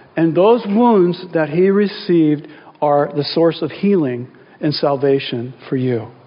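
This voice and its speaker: A man with a fairly high pitch talks at a fairly slow pace. His intonation is lively, and there is noticeable background noise. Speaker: pastor. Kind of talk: sermon. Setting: church. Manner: earnest, intimate, slow prayer voice.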